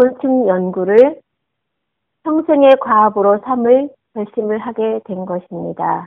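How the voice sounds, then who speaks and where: Long, frequent pauses and big swings in loudness from a woman speaking at a very slow pace. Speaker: homemaker giving a short listener talk. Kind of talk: prepared talk read aloud.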